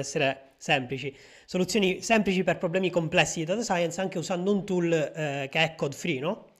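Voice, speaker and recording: Recorded very cleanly against a silent background, a man with a high voice speaks very fast with ordinary pitch variation. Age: 20s. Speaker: podcast host and data scientist. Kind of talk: interview. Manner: hesitant, many fillers.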